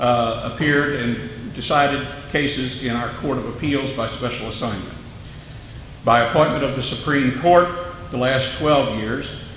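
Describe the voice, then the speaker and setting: With an American accent, a man speaks in fairly even intonation. Room echo is audible, and background noise is noticeable. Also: medium pitch for a man, moderate pace. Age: 60s. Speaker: judge running for office. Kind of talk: candidate forum speech.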